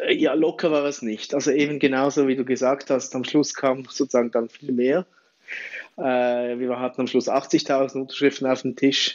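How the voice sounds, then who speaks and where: A man with an ordinary speaking voice and medium pitch speaks at a moderate pace, his intonation fairly even. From Switzerland. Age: 40s. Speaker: campaign platform founder. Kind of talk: interview.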